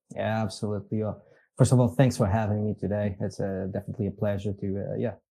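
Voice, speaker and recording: Speaking very fast in a monotone, flat way, a man with a Portuguese accent has a fairly low pitch and a dark, mellow tone, recorded very cleanly against a silent background. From Portugal. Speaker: business executive. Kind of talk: podcast interview. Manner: halting, many fillers.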